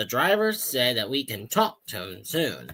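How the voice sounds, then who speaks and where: A man's put-on character voice, medium in pitch, at a moderate pace with very wide pitch swings. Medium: read story.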